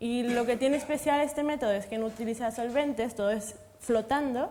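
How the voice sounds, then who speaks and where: Fairly even intonation and a fairly quick pace come through noticeable background noise. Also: woman, high pitch for a woman. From Mexico. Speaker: materials science researcher. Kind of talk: panel discussion.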